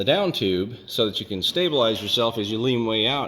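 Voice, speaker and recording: A man talks over noticeable background noise. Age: 60s. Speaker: private pilot and aircraft restorer. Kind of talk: video walk-around tutorial. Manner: casual, many filler words.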